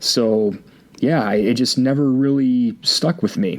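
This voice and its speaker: A man with an Upper Midwest accent at a fairly slow pace. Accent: Upper Midwest American. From Michigan. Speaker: podcast co-host. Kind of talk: casual chat. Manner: halting.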